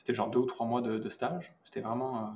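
This man speaks at a fairly quick pace with a medium pitch. His voice has vocal fry. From southern France, rural. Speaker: VFX artist. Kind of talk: casual interview.

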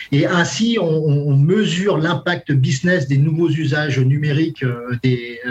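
Noticeable background noise behind a man's fairly high voice, fairly slow, with ordinary pitch variation. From France, Brittany (Brest). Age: 40s. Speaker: sales director. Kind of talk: interview. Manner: halting, many repetitions and fillers.

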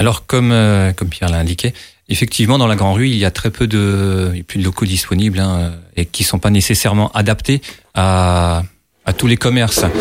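Very even loudness runs through this man's moderate-paced speech. The recording is very clean, with a silent background. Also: fairly low pitch for a man, fairly even intonation. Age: 30s. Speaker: landscape engineer and election candidate. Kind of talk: political debate. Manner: halting, many hesitations.

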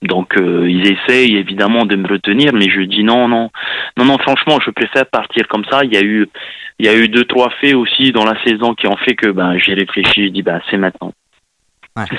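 With a fairly low pitch and ordinary pitch variation, a man talks at a moderate pace. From Tahiti. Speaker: former professional footballer. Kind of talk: interview. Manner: halting.

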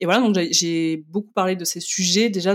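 An unremarkable speaking voice moves at a fairly quick pace with ordinary pitch variation, the sound dry and close with no echo. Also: woman. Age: 30s. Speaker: magazine editor and blogger. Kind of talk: casual interview.

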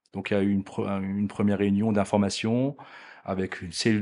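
Fairly even intonation and a fairly quick pace mark this ordinary speaking voice. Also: man, quiet background. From Alsace, France. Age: 40s. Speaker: business executive. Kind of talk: interview.

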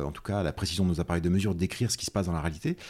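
The man's tone is dark and mellow. The recording is very clean, with a silent background. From central France, Nièvre. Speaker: quantum physics lecturer and researcher. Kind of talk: casual interview. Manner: halting, many fillers and repetitions.

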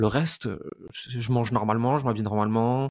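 A man holds a medium pitch and a moderate pace, with ordinary pitch variation. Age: 30s. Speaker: entrepreneur and business coach. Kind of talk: interview. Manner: outspoken, blunt.

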